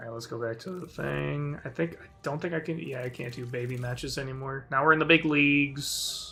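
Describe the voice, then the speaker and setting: A man talks at a fairly quick pace with a fairly high pitch and fairly even intonation. His loudness swings widely against noticeable background noise. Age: 20s. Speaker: gaming streamer. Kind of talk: casual live-stream commentary. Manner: casual, rambling with fillers.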